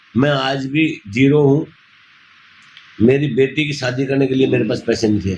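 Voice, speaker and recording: A man speaks in a medium-pitched, somewhat breathy voice. His pitch varies in an ordinary way, broken by long, frequent pauses. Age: 60s. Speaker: NGO founder running old age homes. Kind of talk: interview.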